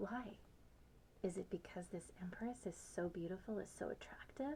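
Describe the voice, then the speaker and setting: Soft-spoken, with a gentle tone. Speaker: tarot reader. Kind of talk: ASMR tarot reading. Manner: soft-spoken, gentle.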